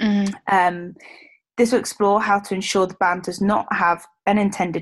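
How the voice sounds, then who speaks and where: A woman speaks with a British accent at a fairly quick pace. Her intonation stays fairly even. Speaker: podcast co-host, rugby player. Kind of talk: casual chat.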